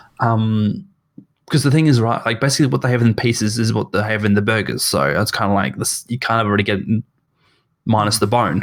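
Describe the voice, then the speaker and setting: Here a man speaks with an Australian accent. He goes at a very fast pace with lively intonation. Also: medium pitch for a man. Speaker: podcast co-host. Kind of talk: casual chat. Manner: halting.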